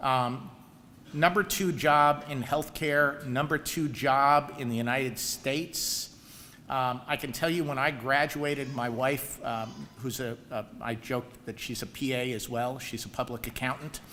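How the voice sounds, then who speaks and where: Speaking fairly slowly with a New York accent, a man has a bright, sharp tone and fairly even intonation. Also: medium pitch for a man. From New York area. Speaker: professor and program director. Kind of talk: ceremony speech. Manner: hesitant with frequent fillers.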